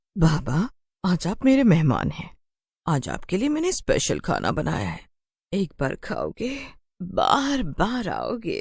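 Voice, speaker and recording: At a fairly slow pace, a put-on character voice at middle pitch comes out cackling. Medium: read story. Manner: cackling, gloating.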